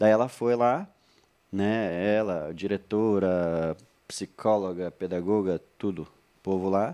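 Against a quiet background, a man talks at a fairly low pitch in a dark, mellow tone with fairly even intonation. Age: 30s. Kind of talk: casual chat.

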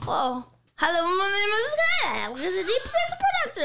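A put-on character voice, pitched extremely high, moves at a moderate pace. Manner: silly put-on voice.

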